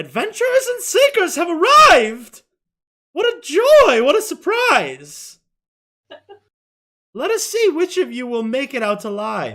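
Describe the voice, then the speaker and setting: A loud, put-on character voice at an extremely high pitch with very wide pitch swings, fairly slow pace and long, frequent pauses. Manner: theatrical, welcoming with sinister edge.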